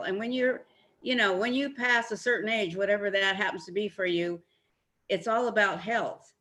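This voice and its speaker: This woman speaks at a medium pitch with a bright, sharp tone. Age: 70s. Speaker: health coach. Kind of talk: casual video call interview.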